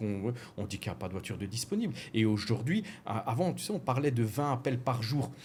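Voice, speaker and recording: Speaking at a fairly quick pace with an Alsatian accent, a man uses a medium-pitched, somewhat breathy voice. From France, Alsace. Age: 40s. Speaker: car rental business owner. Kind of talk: podcast interview. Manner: hesitant, many fillers.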